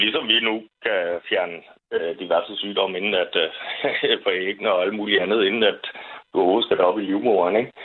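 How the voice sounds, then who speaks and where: A man at a moderate pace, his loudness very even throughout. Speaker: caller. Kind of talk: casual chat. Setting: phone call.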